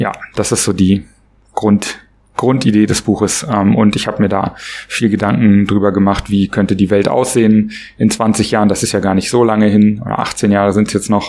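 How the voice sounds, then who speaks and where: A man talks at a fairly low pitch and a moderate pace. His loudness stays very even and his intonation is monotone and flat. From Berlin, Germany. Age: 40s. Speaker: author and entrepreneur. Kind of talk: podcast interview. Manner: hesitant, many filler sounds.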